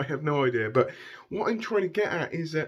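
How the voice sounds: The speaker is a man with a fairly high pitch. His voice has a dark, mellow tone.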